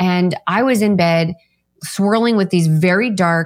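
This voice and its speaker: A woman with an ordinary speaking voice, fairly low in pitch, with ordinary pitch variation. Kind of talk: interview testimony.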